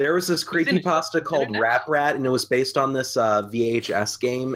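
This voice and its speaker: At a moderate pace and with ordinary pitch variation, a man speaks in a normal speaking voice. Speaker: podcast co-host. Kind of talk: casual chat.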